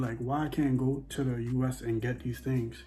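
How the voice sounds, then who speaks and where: Music plays in the background as a man speaks at a moderate pace. His pitch is medium and his tone animated. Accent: American. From Bahamas. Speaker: vlogger. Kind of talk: casual monologue. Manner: repetitive, animated.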